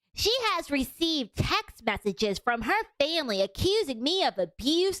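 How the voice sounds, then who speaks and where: A put-on character voice, high-pitched with very wide pitch swings, at a moderate pace. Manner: villainous, menacing.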